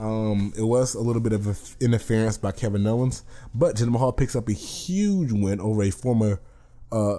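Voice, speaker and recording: A man speaks with a dark, mellow tone. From US South. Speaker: wrestling podcaster. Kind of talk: solo podcast review. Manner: casual, slang-heavy.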